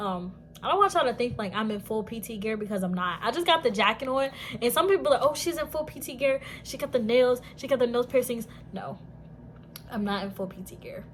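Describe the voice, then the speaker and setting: Over noticeable background noise, a woman talks very fast in a high voice, her loudness swinging widely. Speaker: Air Force service member. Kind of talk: casual storytime talk to camera. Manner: casual, expressive.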